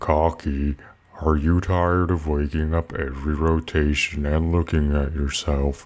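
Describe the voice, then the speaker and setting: Using a put-on character voice, a man speaks with a very deep, low pitch. His pace is moderate and his intonation is monotone and flat. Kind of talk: TV commercial read. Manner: slow, monotone.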